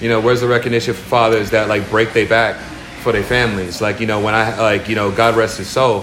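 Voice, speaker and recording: Over audible room echo and noticeable background noise, a man speaks very fast at a medium pitch with a monotone, flat intonation. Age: 30s. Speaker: music producer and songwriter. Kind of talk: casual chat. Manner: filler-heavy, repetitive speech.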